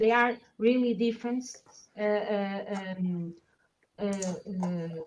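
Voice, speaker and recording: A woman with a non-native accent talks at a very slow pace. Her medium-pitched voice keeps a fairly even intonation. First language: Portuguese. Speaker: researcher. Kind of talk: academic seminar Q&A. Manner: halting, many fillers.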